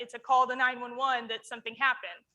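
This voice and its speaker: Raising and projecting her high, bright, sharp voice, a woman speaks at a fairly quick pace. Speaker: emergency manager. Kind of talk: conference presentation. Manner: loud; animated.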